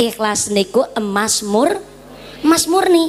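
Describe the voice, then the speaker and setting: Woman with a Javanese accent and a fairly high pitch, with noticeable background noise. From Central Java, Ngapak region. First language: Javanese (speaking Indonesian). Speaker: female Islamic preacher. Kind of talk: sermon. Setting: stage with audience and PA system. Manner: animated. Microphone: sound effect/echo on PA mic removed.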